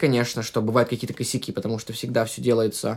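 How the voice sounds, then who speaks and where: This is a male speaker. His words come out very fast. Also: very clean recording, silent background. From Russia. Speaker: podcast guest, musician and painter. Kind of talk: casual interview chat.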